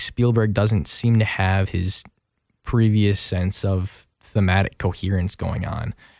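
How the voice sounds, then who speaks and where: With a plain, everyday voice, a man speaks at a fairly low pitch and moderate pace with fairly even intonation on a very clean recording with a silent background. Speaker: radio co-host. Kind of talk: casual film review chat on radio. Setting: radio studio booth.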